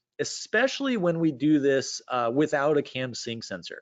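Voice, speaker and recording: With lively intonation, a man speaks at a medium pitch. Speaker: engine fuel-injection instructor and webinar panelist. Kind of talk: technical presentation. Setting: online webinar. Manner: fast.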